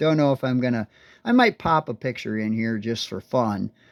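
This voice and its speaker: A man with a medium-pitched voice is heard on a very clean recording with a silent background and a dry, close sound with no echo. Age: 60s. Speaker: car restorer. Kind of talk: casual video narration. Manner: halting, with self-corrections.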